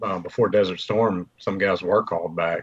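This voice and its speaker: A man with a fairly low pitch talks at a moderate pace in a monotone, flat intonation. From Mobile, Alabama. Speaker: living history event organizer. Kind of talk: casual chat. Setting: video call.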